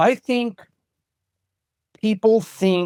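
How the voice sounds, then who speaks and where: At a very slow pace, a man speaks in a very clean recording with a silent background and a dry, close sound with no echo. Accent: American. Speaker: martial arts instructor. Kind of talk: interview conversation.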